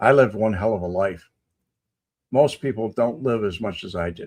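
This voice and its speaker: With a Chicago accent, a man speaks at a medium pitch with lively intonation. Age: 70s. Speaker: live-stream host, ex-Marine. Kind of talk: casual chat answering live comments. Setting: live stream.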